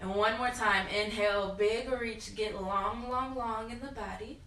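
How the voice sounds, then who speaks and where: In a room with audible echo and noticeable background noise, a woman talks at a fairly slow pace in a fairly high voice with monotone, flat intonation. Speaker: yoga instructor. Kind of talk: guided yoga class. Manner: loud.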